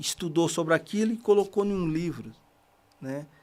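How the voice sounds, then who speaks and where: A high-pitched man's voice at a fairly slow pace, in a very clean recording with a silent background. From Bahia backlands, northeastern Brazil. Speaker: construction worker and reading project founder. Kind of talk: podcast interview. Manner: halting, with frequent fillers.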